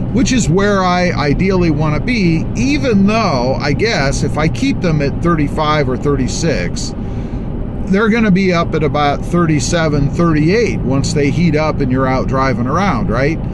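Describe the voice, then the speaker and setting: Amid loud background noise, a man talks at a fairly slow pace in a dry sound with no echo. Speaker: truck channel host. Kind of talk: casual vlog chat. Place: car. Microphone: phone near.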